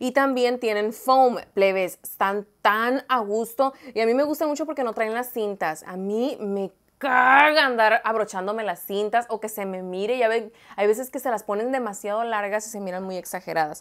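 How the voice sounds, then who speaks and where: A woman at a moderate pace with hardly any pauses, ordinary pitch variation, and a quiet background. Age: 20s. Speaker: lifestyle vlogger. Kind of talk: shopping haul vlog. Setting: home studio under hot lights. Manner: animated. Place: home room. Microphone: lapel.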